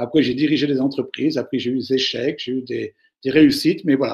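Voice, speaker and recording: A man talks at a fairly quick pace. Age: 60s. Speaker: management speaker. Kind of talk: webinar Q&A. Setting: online webinar. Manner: hesitant, with fillers.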